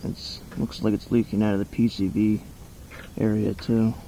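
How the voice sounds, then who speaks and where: Quiet and mumbling, the voice moves at a moderate pace with monotone, flat intonation. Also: man. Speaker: hobby mechanic. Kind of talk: casual talk while working. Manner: mumbling, quiet.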